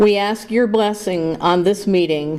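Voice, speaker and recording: A woman speaks very slowly at a medium pitch. Noticeable background noise sits behind her. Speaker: pastor. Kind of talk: prayer invocation. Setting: board room meeting. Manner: loud.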